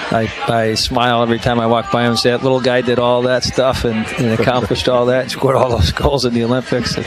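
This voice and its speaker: With music in the background and audible room echo, a man with a medium-pitched voice speaks in an American accent at a very fast pace with hardly any pauses. His intonation is flat and monotone, and his loudness stays very even. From Chicago, US Midwest. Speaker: college hockey coach. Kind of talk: radio interview. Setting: live broadcast at a restaurant.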